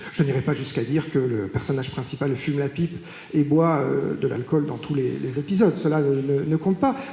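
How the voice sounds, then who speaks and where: Noticeable background noise and audible room echo surround speech delivered at a fairly quick pace. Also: man, fairly high pitch for a man, ordinary pitch variation. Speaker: mafia expert, academic. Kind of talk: public talk. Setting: stage with audience in a courthouse. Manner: hesitant, many filler sounds.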